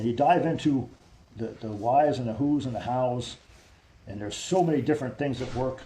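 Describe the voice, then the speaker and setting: Fairly quick speech from a man at medium pitch, with ordinary pitch variation, big swings in loudness and audible room echo. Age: 50s. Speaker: army veteran. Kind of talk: interview. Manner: repetitive, halting.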